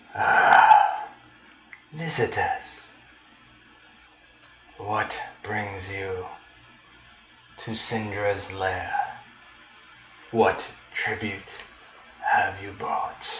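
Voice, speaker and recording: In a put-on character voice, the speaker goes at a very slow pace with long, frequent pauses, and there is a slight echo. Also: man. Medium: actual play. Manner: menacing, haughty.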